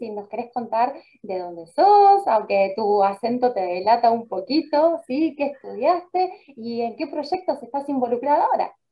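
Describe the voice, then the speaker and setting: A woman speaks at a moderate pace in a high voice, her pitch swinging very widely. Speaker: radio host. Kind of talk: interview.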